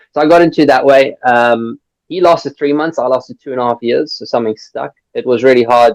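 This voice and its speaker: A strong South African accent comes through at a fairly quick pace with ordinary pitch variation, in a dry, close sound with no echo. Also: man. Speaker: recruitment business founder. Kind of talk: podcast interview. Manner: animated.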